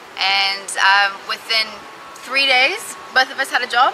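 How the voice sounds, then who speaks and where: A woman with a Texas accent speaks at a fairly high pitch and a fairly slow pace. Noticeable background noise runs beneath her. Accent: American (Texas). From Texas, Austin. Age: 20s. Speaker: recruitment agency manager. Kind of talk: interview. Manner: animated.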